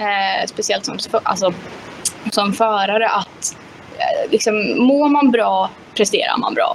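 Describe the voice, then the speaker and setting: A woman speaks at a fairly slow pace with a fairly high pitch. Her pitch moves in an ordinary way, and there is noticeable background noise. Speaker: mental coach and former kart driver. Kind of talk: interview. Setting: live stream.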